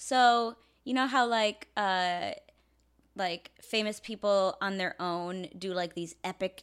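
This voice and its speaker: Speaking at a very slow pace, a woman uses a medium pitch. The recording is very clean, and the background is silent. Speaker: podcast co-host reviewing animated movies; teacher making videos for school kids. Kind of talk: casual chat. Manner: enunciating clearly.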